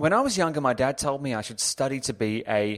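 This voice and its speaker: On a very clean recording with a silent background, a man with an Australian accent speaks at a fairly quick pace with ordinary pitch variation. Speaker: podcast host and author. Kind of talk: casual chat.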